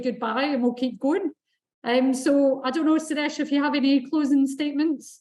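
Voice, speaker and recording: The speaker has a Scottish accent and a moderate pace. The intonation is monotone and flat. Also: woman. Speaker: event moderator. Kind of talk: panel moderation.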